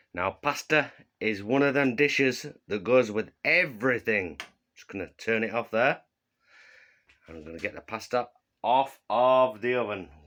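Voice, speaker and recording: A man in a Yorkshire accent, bright and sharp in tone, at a moderate pace with long, frequent pauses and big swings in loudness, on a very clean recording with a silent background. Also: medium pitch for a man, ordinary pitch variation. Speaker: comedy cooking vlogger. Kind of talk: comedic cooking demonstration. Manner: casual, jokey.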